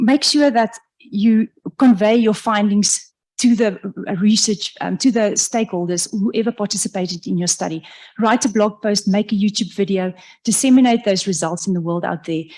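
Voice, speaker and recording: A somewhat breathy woman's voice at medium pitch, moderate pace and ordinary pitch variation. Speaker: professor. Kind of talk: lecture. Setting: lecture hall with audience, also streamed online. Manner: halting, with fillers and self-corrections.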